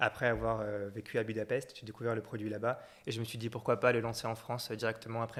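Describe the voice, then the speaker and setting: Talking at a very fast pace, a man keeps a medium pitch and a monotone, flat intonation. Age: 20s. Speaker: entrepreneur, content creator. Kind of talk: interview.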